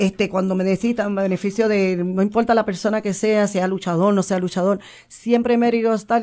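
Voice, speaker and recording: Speaking with fairly even intonation, a woman has a dark, mellow tone. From Puerto Rico, Santurce. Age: 50s. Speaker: retired wrestler and nurse. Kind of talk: interview.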